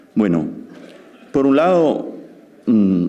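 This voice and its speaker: A man speaks with an Italian accent, and audible room echo surrounds his voice. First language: Italian (speaking Spanish). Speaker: law professor. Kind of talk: lecture. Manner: halting.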